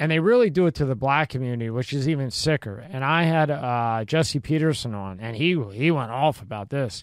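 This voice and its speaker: On a very clean recording with a silent background, a man talks in a Philadelphia accent at a medium pitch. He moves at a fairly quick pace with hardly any pauses and lively intonation. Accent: Philadelphia American. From Philadelphia, US. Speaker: podcast host. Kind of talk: casual interview. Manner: casual and chatty.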